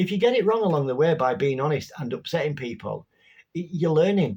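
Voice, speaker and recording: Swinging very widely in pitch, a man speaks in a somewhat breathy voice. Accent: Yorkshire. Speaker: spirituality vlogger. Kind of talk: casual talk to camera. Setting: home bedroom.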